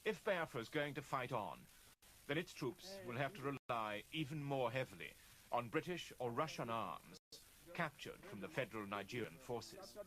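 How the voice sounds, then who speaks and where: With vocal fry and long, frequent pauses, a man speaks at a medium pitch using very wide pitch swings. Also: moderate pace. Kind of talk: documentary news narration.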